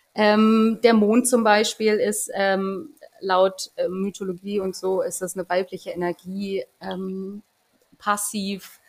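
A woman talks at a very slow pace in a flat, monotone delivery. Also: medium pitch for a woman. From Berlin. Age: 30s. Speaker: community manager. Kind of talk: casual chat.

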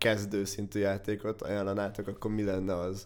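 A man at a moderate pace, his pitch fairly low. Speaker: podcast host. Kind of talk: casual chat.

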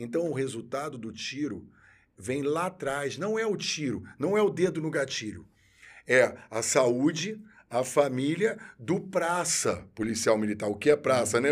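Man with an unremarkable speaking voice, fairly high in pitch, with lively intonation and a fairly slow pace. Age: 50s. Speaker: military police officer. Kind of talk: interview.

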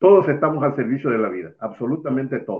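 A man talks at a fairly quick pace with a medium pitch. He has an unremarkable speaking voice. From Mexico, Veracruz. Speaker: alternative medicine practitioner. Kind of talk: interview. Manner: formal.

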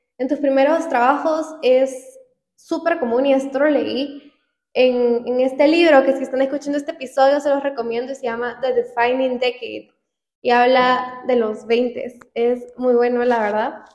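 The speech moves at a fairly slow pace. Its intonation stays fairly even. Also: woman, high pitch for a woman. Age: 20s. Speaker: podcast co-host. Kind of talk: casual chat.

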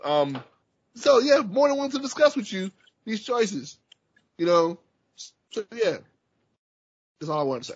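Long, frequent pauses break up a man's high-pitched speech, which has very wide pitch swings and big swings in loudness. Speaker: podcast host. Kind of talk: casual chat.

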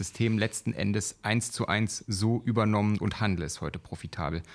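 A man talks at a moderate pace with a plain, everyday voice. His pitch is fairly low, and the recording is very clean with a silent background. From eastern Germany (former GDR). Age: 30s. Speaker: trading educator, podcast co-host. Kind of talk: casual chat.

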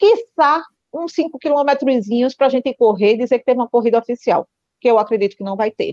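A woman's high-pitched, dark, mellow voice with lively intonation at a fairly quick pace, in a dry, close sound with no echo. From Pernambuco, northeast Brazil. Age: 40s. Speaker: nurse and amateur runner. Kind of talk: interview.

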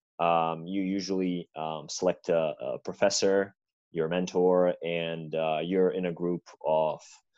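A man with a Serbian accent speaks in a very deep, low voice with monotone, flat intonation. The sound is dry and close with no echo, and the background is quiet. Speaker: college basketball player. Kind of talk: casual interview chat. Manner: halting, many fillers.

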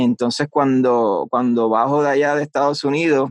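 An ordinary speaking voice moves at a moderate pace with lively intonation. The sound is dry and close, with no echo. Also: man. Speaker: voice-over artist. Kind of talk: interview.

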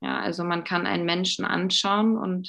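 The surroundings are quiet. Words come out at a fairly slow pace. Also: woman. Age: 30s. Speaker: life coach and shamanic practitioner. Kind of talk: podcast interview.

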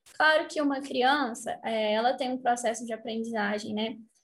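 This woman talks with fairly even intonation. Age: 20s. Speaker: English teacher and medical student. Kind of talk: casual interview chat.

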